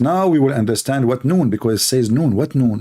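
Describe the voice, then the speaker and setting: A man of medium pitch speaks at a moderate pace with lively intonation and a dark, mellow tone. The recording is very clean, the background silent. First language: Arabic. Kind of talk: polemical livestream monologue. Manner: animated, mocking.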